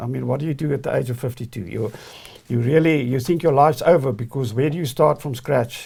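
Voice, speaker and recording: A man talks at a very fast pace in a dark, mellow tone that is somewhat breathy. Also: medium pitch for a man, ordinary pitch variation. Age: 60s. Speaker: entrepreneur and former banker. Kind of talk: interview. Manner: halting, with repeated words.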